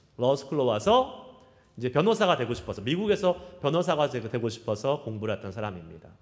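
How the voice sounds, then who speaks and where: Very wide pitch swings from a man talking at a fairly quick pace. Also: medium pitch for a man. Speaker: pastor. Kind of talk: sermon.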